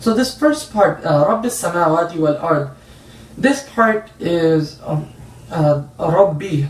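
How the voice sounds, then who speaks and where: A high-pitched man with an American accent speaks at a very slow pace with lively intonation, over noticeable background noise. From San Jose, California, USA. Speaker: Islamic scholar and Quran teacher. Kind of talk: religious lecture class.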